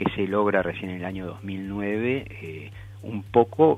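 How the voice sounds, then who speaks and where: Music plays behind a man speaking at a fairly slow pace. His pitch is fairly low, with ordinary variation. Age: 60s. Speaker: celiac advocacy group member. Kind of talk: radio interview. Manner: halting.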